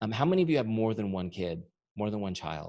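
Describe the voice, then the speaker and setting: A fairly low-pitched man at a very fast pace. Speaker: business coach and software founder. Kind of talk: training webinar. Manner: animated.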